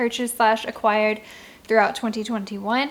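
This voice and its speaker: The speaker is a woman whose voice sits fairly high. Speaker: book reviewer. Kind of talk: casual chat. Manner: fast; animated.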